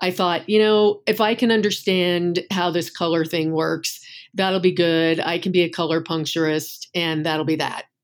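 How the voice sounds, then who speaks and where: In a very clean recording with a silent background, a woman with an American accent has an unremarkable speaking voice, speaking at a moderate pace and fairly low pitch with fairly even intonation and hardly any pauses. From US Northeast. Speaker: acupuncturist. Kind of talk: interview conversation.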